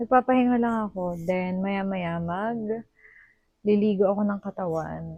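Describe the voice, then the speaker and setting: A woman speaks at a medium pitch with a dark, mellow tone. Her pitch variation is ordinary. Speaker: vlogger. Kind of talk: casual vlog talk. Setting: at home. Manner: soft-spoken.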